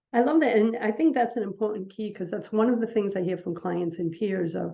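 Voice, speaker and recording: Here is a woman with a plain, everyday voice at a medium pitch. She speaks at a fairly quick pace with ordinary pitch variation. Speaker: podcast host, publisher and coach. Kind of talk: interview host introduction and conversation.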